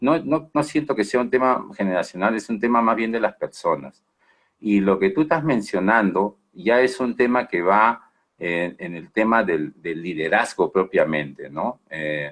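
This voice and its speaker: Moving through very wide pitch swings, a man of medium pitch speaks at a fairly slow pace. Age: 60s. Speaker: management consultant. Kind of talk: webinar Q&A answer. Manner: halting, many fillers and repetitions.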